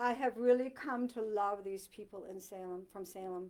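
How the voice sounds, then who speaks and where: Her tone dark and mellow, a woman with an American accent talks at a moderate pace with ordinary pitch variation. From Maine, US (Dover-Foxcroft). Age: 60s. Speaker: author. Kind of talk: author talk to a library audience. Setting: library talk with live audience. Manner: animated, with many fillers and restarts.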